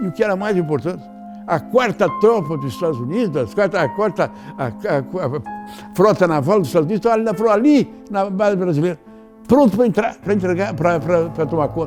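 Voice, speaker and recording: There is music in the background as a man speaks with a high pitch. His intonation is lively and his pace fairly quick. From Brazil, Rio Grande do Sul. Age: 80s+. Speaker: veteran politician, former senator. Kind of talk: interview answer.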